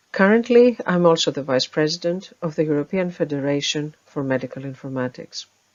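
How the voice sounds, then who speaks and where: A woman's very deep, low voice with lively intonation, at a fairly quick pace with hardly any pauses. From Finland. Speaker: medical officer. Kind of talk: conference talk. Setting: remote video presentation. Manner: formal.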